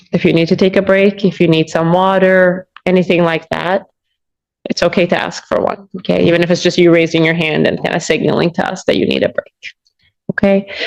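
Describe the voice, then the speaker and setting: Soft-spoken and flat, a woman with an American accent speaks in a monotone. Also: fairly low pitch for a woman, fairly quick pace. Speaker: prosecutor. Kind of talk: courtroom questioning. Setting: courtroom.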